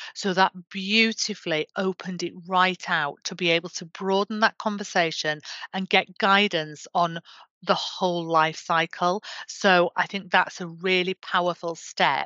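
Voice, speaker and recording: Speaking fairly slowly in a Yorkshire accent, a woman keeps her medium-pitched voice in a flat monotone. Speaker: government menopause champion. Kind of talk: interview.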